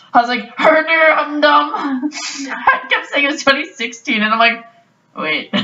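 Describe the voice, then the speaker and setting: Loud and fairly slow, a woman with a Canadian accent speaks in a high voice with ordinary pitch variation. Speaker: podcast host. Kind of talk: casual chat.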